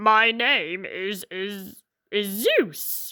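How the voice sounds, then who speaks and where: In a put-on character voice, a woman speaks at a medium pitch with ordinary pitch variation, in a very clean recording with a silent background. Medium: read story. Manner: muttered, stammering.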